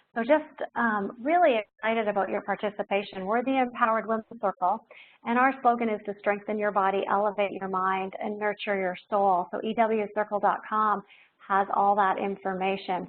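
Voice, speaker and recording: A woman's ordinary speaking voice at medium pitch, moderate in pace, with fairly even intonation. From Ontario, Canada. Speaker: doctor and wellness speaker. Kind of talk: webinar talk. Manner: informal, frequent fillers.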